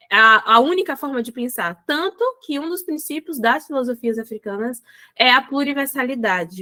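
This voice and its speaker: At a moderate pace, a woman speaks in a high, bright, sharp voice with lively intonation, the sound dry and close with no echo. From Salvador, Bahia, Brazil. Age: 20s. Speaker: educator and business organization consultant. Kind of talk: podcast interview.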